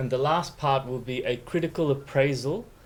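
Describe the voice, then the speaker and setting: A man with an Australian accent, fairly slow, with ordinary pitch variation and audible room echo. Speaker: law professor. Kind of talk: lecture.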